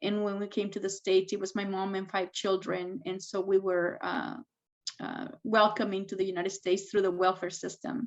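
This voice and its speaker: A woman with a Spanish accent speaks at a moderate pace with fairly even intonation. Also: medium pitch for a woman. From Mexico, moved to US at 13 (Texas, Washington). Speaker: tech executive and STEM advocate. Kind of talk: interview. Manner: hesitant, many fillers.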